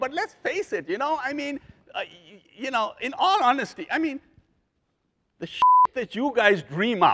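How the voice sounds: A man talks at a fairly slow pace in an extremely high pitch with very wide swings. His tone is bright and sharp.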